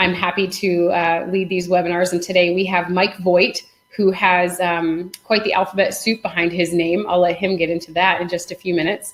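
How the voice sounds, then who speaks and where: With a New England accent, a woman speaks in a fairly low, flat monotone, with hardly any pauses. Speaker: physical therapist assistant and webinar host. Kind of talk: webinar hosting. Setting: video call webinar. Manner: fast.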